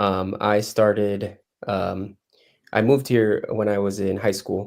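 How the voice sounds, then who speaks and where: A man with a Spanish accent and a fairly low pitch, fairly slow and fairly even in intonation, on a very clean recording with a silent background. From Mexico, Cozumel area. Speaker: soccer coach. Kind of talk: interview.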